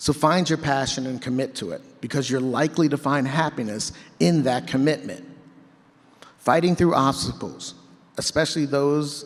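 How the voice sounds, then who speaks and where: Here is a man with a plain, everyday voice. His pitch is fairly high and varies in an ordinary way, and his pace is moderate. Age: 50s. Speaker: keynote speaker. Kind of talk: motivational speech. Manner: conversational storytelling.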